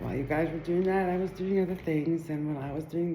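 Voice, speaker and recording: A dark, mellow tone with fairly even intonation and audible room echo. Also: woman. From Israel. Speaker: Torah teacher. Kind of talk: video introduction. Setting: live recording.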